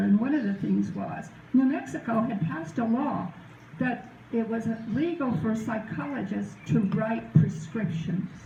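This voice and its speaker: A woman with an American accent at a moderate pace, plus noticeable background noise and audible room echo. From US South. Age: 80s+. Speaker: retired judge and former political candidate. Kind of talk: informal talk to a group.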